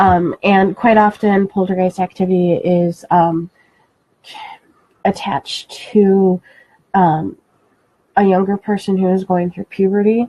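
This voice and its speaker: A soft-spoken woman at medium pitch, monotone and flat, at a fairly slow pace with long, frequent pauses, in a dry, close sound with no echo. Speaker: paranormal radio show co-host. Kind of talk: casual chat. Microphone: moves away from the mic, too quiet.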